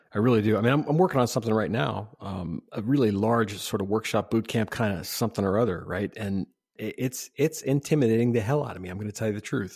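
The speech is very fast. The recording is very clean, with a silent background. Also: man. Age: 50s. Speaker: podcast host and UX consultant. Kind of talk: casual interview conversation.

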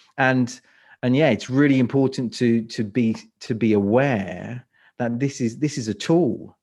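With a quiet background, a man speaks at a fairly slow pace and with ordinary pitch variation. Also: medium pitch for a man. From London, England. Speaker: speaker coach. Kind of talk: interview.

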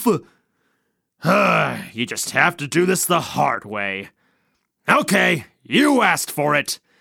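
Using a put-on character voice, a man speaks fairly slowly at a fairly high pitch, leaving long, frequent pauses. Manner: sly, greedy, boastful.

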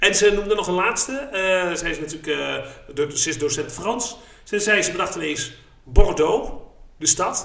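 A man with a high pitch and lively intonation speaks at a moderate pace, with audible room echo and noticeable background noise. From eastern Netherlands, Haaksbergen. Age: 30s. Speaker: podcast host. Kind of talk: casual chat.

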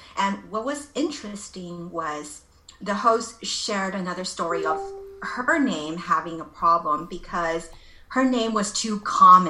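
In a Californian accent, a woman speaks slowly-ish with lively intonation, with audible room echo and noticeable background noise. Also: medium pitch for a woman. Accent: American (California). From Los Angeles, US. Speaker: life coach. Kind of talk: interview.

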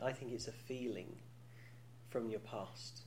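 A man speaks with a British accent at a moderate pace. His voice is somewhat breathy. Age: 40s. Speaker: podcast host. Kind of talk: casual chat. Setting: studio. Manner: joking, teasing.

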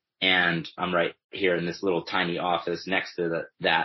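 With a very deep, low pitch, a man talks fairly slowly. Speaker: nonprofit co-founder. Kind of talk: interview conversation.

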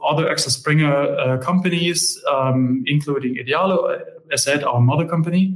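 With a German accent, a man speaks somewhat breathily at a moderate pace, his fairly high pitch kept to fairly even intonation. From Germany. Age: 30s. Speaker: company managing director. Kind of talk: interview conversation.

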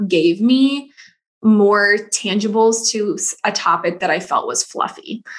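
A woman's plain, everyday voice in an American accent, medium in pitch with ordinary pitch variation. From US Midwest, rural Missouri. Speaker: systems consultant, online business manager. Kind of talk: podcast interview.

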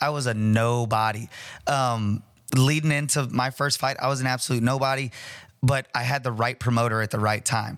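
A man speaks in a normal speaking voice at medium pitch and a moderate pace, his intonation fairly even and his loudness very even. The recording is very clean, with a silent background. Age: 30s. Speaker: martial arts gym owner and fight promoter. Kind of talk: casual chat.

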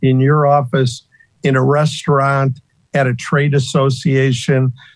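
Monotone, flat delivery, somewhat breathy. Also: man. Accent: American. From US Midwest, Northeast Ohio. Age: 60s. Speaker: retired title insurance salesperson and former pro bowler. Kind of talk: casual interview conversation.

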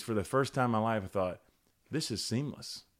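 A man with fairly low pitch and ordinary pitch variation talks at a fairly quick pace. The recording is very clean, with a silent background. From US South, Charlotte, North Carolina. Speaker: author, speaker and preacher. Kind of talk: casual chat.

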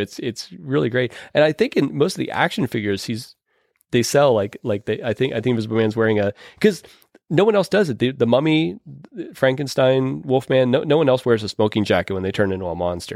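A man with an American accent uses a plain, everyday voice at medium pitch. His pace is fairly quick, and the sound is dry and close with no echo. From Pittsburgh, US. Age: 40s. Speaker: podcast host, horror film reviewer. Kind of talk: casual chat.

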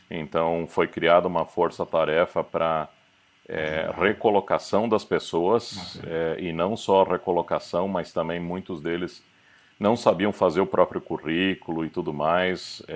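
Speaking at a fairly slow pace, the man has a very deep, low pitch. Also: fairly even intonation, quiet background. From Curitiba, southern Brazil. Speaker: company CEO. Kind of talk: interview.

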